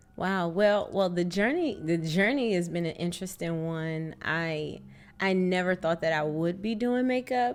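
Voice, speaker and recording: With a normal speaking voice and an American accent, a woman talks at a fairly slow pace with a fairly low pitch and ordinary pitch variation. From Washington DC. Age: 40s. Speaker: makeup artist. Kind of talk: casual interview chat.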